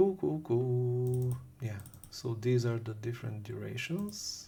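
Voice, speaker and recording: Speaking at a very slow pace, a man with a dark, mellow tone and medium pitch sounds somewhat breathy, with lively intonation and audible room echo. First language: language with Cyrillic alphabet. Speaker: game developer, programming YouTuber. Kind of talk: code reading reaction, thinking aloud. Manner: halting, many fillers.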